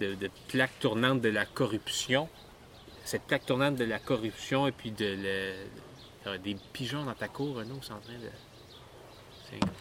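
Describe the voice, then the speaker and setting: A man speaks with a Quebec accent. His pace is very slow, and his pitch varies in an ordinary way. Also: medium pitch for a man, big swings in loudness. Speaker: podcast co-host. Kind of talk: casual chat.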